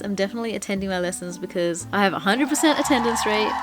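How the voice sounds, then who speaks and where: Over noticeable background noise, a woman with an Indonesian accent talks very fast at a medium pitch. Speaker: language learning vlogger. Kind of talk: casual vlog talk. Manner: animated.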